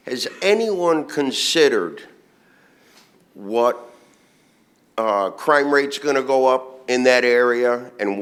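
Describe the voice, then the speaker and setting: With noticeable background noise behind him, a man speaks at a fairly slow pace with ordinary pitch variation. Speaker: resident speaking at public hearing. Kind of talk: public comment at town meeting. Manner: loud.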